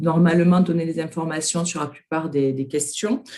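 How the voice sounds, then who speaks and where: A woman's fairly low-pitched voice, an ordinary speaking voice, at a moderate pace with fairly even intonation. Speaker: workshop participant. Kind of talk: group presentation.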